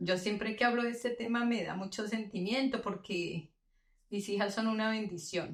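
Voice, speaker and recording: A woman talks fairly slowly. Her intonation stays fairly even. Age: 60s. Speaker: mother of the host. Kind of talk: casual chat.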